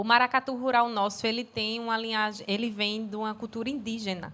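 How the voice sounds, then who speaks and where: A woman with a Recife accent at a moderate pace and fairly high pitch, monotone and flat, on a very clean recording with a silent background. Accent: Pernambuco (Recife) Brazilian Portuguese. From Pernambuco, Brazil. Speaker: dancer and cultural producer. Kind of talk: casual chat.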